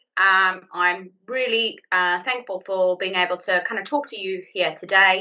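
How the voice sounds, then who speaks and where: A woman speaks with a South African accent. Her pitch varies in an ordinary way. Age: 30s. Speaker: IT account manager. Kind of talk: presentation.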